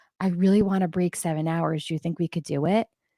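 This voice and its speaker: Animated woman at a fairly quick pace, dry and close with no echo, on a very clean recording with a silent background. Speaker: ultrarunner and teacher. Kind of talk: casual chat. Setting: livestream. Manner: loud.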